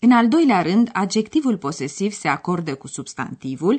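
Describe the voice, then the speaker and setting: Somewhat breathy and fairly high in pitch, a woman's voice moves through very wide pitch swings. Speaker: radio language course presenter. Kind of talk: language lesson. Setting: studio.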